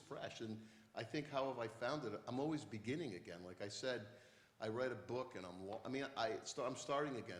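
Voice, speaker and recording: An American accent marks this man's somewhat breathy, medium-pitched voice at a fairly quick pace, with audible room echo. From western Massachusetts. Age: 60s. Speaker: poet. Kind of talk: onstage conversation.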